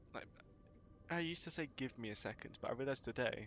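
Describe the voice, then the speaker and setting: Very fast speech from a man with a Yorkshire accent. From northern England. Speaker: live streamer. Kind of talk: casual live-stream chat.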